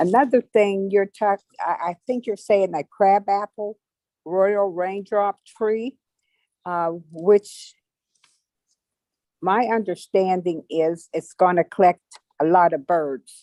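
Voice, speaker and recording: A woman's dark, mellow tone comes through dry and close with no echo, at a very slow pace with long, frequent pauses. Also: medium pitch for a woman, ordinary pitch variation. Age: 70s. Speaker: resident giving public comment. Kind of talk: public comment at city meeting. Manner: halting.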